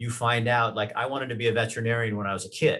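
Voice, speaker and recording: The man's voice has a medium pitch. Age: 60s. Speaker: former news anchor. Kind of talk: podcast interview. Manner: animated.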